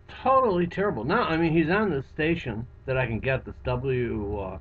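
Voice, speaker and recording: Over noticeable background noise, a man talks at a moderate pace with very wide swings in pitch. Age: 60s. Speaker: psychotherapist and hypnotist. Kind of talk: webcam monologue. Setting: office. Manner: halting.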